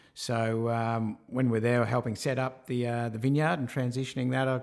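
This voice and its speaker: At a moderate pace, a man of medium pitch talks with an Australian accent and fairly even intonation. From Australia, rural Victoria (Swan Hill). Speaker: digital marketing and tech entrepreneur. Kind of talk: interview.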